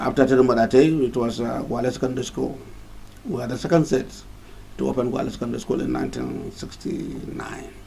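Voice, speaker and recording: Fairly quick speech from a man, with noticeable background noise and audible room echo. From Nigeria, Kano. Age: 60s. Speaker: professor. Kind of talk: interview.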